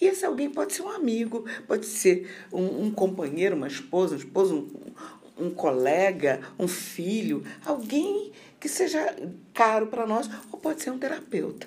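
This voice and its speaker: A woman speaks at a moderate pace in a fairly high voice with vocal fry. Her pitch swings very widely, and the room echo is audible. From Rio de Janeiro, Brazil. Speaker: occupational therapy professor. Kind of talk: interview on mental health.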